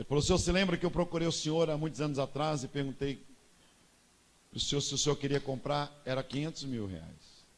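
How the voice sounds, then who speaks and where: This man talks at a fairly quick pace, his pitch fairly high and its variation ordinary. He has an unremarkable speaking voice. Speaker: pastor. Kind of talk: sermon.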